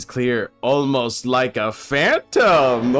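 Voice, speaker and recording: Faint music plays in the background as a man does a put-on character voice at medium pitch. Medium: voice reel. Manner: grandiose, lecturing.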